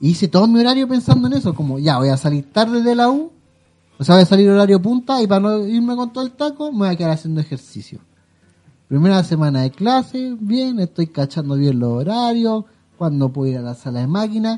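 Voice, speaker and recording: A man's high voice with a Chilean accent, at a fairly quick pace with very wide pitch swings. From Chile (Santiago, Quilicura). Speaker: podcast co-host. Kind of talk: casual chat.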